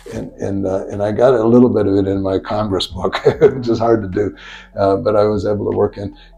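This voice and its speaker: With an American accent, a man speaks at a fairly quick pace in a fairly low pitch. His intonation is monotone and flat, with noticeable background noise. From United States. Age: 60s. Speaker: professor. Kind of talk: interview conversation. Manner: halting, many repetitions and fillers.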